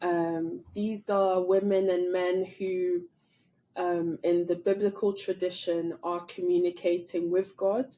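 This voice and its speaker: Very slowly and in a flat monotone, a woman with a medium pitch and a dark, mellow tone speaks with an American accent. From London, England. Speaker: theology professor. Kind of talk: podcast interview. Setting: studio.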